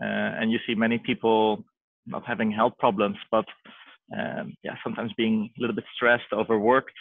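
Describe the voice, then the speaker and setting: A fairly quick-paced man with a Dutch accent. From Netherlands, Amsterdam. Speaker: health entrepreneur. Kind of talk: interview. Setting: video call. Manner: halting.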